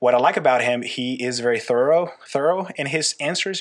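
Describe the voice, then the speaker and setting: A man with a slight Costa Rican accent, medium pitch and ordinary pitch variation, over noticeable background noise. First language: Spanish. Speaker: youth pastor. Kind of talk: casual interview. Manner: halting, frequent repeats.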